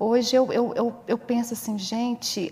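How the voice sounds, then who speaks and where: Fairly high-pitched speech from a woman at a very slow pace, with noticeable background noise. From Viçosa, Minas Gerais, Brazil. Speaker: stay-at-home mother. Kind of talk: interview testimony.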